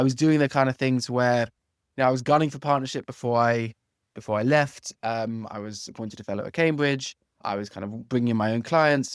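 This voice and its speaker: The speaker has an English accent, a fairly quick pace and fairly even intonation, with big swings in loudness. The sound is dry and close with no echo, on a very clean recording with a silent background. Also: man, medium pitch for a man. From London, England. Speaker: legal tech founder, former antitrust lawyer. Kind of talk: interview podcast.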